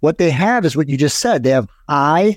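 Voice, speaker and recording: In a dry, close recording with no echo, a man talks at a moderate pace with an animated tone and lively intonation. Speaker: fitness and hormone author. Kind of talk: casual chat.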